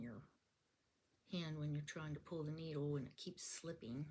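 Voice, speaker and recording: Somewhat breathy, a woman speaks with a very deep, low pitch, a dark, mellow tone, and fairly even intonation. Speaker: quilting teacher. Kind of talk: tutorial. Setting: home, camera in front of her.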